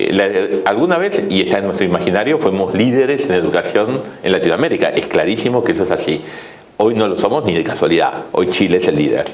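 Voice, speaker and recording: With a Rioplatense accent, a man talks at a fairly quick pace and very even loudness, amid audible room echo and noticeable background noise. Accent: Argentine Rioplatense Spanish. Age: 60s. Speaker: economist. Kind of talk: interview. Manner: hesitant, with fillers.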